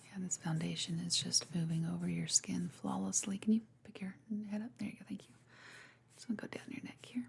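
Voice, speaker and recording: Soft-spoken and gentle in tone, a woman talks at a fairly quick pace. Her loudness swings widely. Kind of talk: soft-spoken ASMR makeup roleplay. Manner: soft-spoken, gentle.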